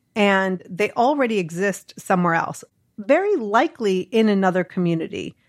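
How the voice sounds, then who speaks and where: A woman with an American accent speaks at medium pitch with ordinary pitch variation. The recording is very clean, the background silent. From Boston, US. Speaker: community founder, former TV producer. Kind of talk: casual interview chat. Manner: outspoken, blunt.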